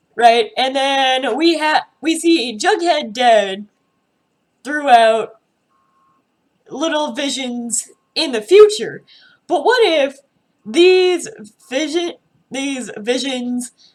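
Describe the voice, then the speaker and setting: Speaking very slowly with long, frequent pauses, a woman uses a high pitch and lively intonation while music plays in the background. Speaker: TV show reaction youtuber. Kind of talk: casual video commentary.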